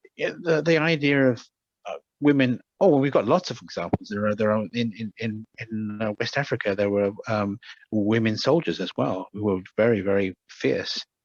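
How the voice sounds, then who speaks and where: The speaker has a British accent. Pitch varies in an ordinary way. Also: man, dry, close sound with no echo. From Britain. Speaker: medical anthropologist and shamanic practitioner. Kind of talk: interview. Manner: halting, many repetitions.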